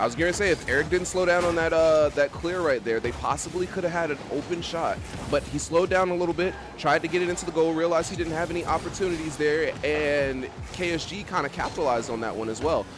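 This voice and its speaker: Over music in the background, a man talks loudly and very fast in a high voice, excited in tone, with ordinary pitch variation. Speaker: esports caster. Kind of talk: live commentary. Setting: voice chat stream. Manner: loud, excited; animated. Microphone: mic cutting out, noise suppression.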